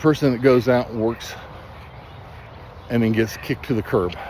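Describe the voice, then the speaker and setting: Noticeable background noise sits behind this recording. A man talks at a medium pitch. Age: 60s. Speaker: substance abuse counselor. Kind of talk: motivational talk. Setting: outdoors. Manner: animated.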